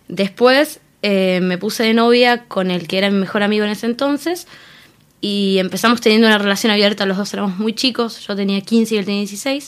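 In a Rioplatense accent, the speaker goes at a fairly quick pace with ordinary pitch variation. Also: woman, medium pitch for a woman. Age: young. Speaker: interviewee, free love activist. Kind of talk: interview.

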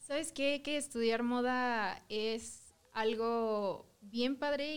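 This woman has a fairly high pitch and ordinary pitch variation. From southern Mexico. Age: 20s. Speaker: fashion design student. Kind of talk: casual chat.

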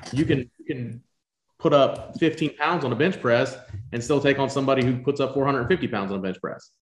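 At a moderate pace, a man speaks in a fairly high, somewhat breathy voice with big swings in loudness. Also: ordinary pitch variation. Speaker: podcast co-host. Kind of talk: casual interview.

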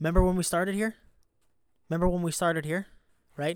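Fairly even in intonation, a man speaks with a high pitch. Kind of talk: pep talk. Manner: intense, emphatic, motivational, driving repetition; punchy, fired-up, direct.

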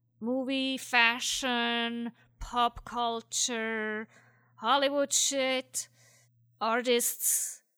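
A woman talks very slowly in a high, bright, sharp voice with flat, monotone intonation. The recording is very clean and dry, close, with a silent background and no echo. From Switzerland. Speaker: atheist writer, listener contributor. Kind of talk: casual spoken commentary.

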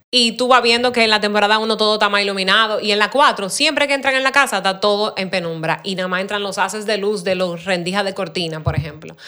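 A woman at a very fast pace with hardly any pauses, ordinary pitch variation, and noticeable background noise. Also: medium pitch for a woman. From Dominican Republic. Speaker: production designer. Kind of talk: casual interview.

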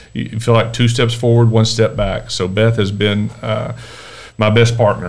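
The speech is monotone and flat, delivered at a fairly slow pace with noticeable background noise. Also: man, medium pitch for a man. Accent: Texan. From Texas, Dallas area. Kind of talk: casual interview. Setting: podcast interview.

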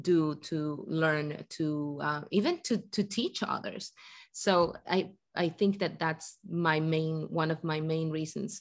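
In a Spanish accent, a woman speaks very slowly with a very deep, low pitch and fairly even intonation. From Ecuador. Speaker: guest. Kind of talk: casual chat. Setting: video call.

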